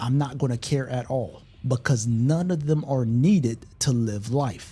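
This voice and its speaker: A man talks at a fairly slow pace in a dark, mellow tone that is somewhat breathy. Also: medium pitch for a man, ordinary pitch variation. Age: 30s. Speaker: gaming streamer. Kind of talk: casual live stream chat.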